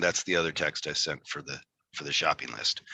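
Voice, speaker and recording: Fairly quick male speech with a bright, sharp tone and a dry, close sound with no echo. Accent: Michigan. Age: 40s. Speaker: tattoo artist and podcast host. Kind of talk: casual interview chat. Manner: halting, repeats words.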